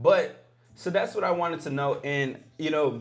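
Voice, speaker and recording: There is noticeable background noise and audible room echo as a man speaks at a fairly high pitch. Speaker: livestream host. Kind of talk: casual livestream talk.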